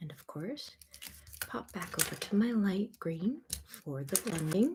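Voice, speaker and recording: The voice is soft-spoken and fairly slow, with very wide pitch swings and big swings in loudness. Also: woman, medium pitch for a woman. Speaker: coloring book artist. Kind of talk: casual tutorial talk to camera. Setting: home studio, mic recording.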